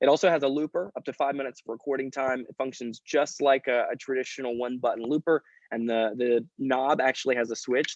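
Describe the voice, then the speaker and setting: A man at medium pitch, very fast with hardly any pauses and fairly even intonation. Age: 20s. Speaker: company founder. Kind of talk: interview. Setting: video call.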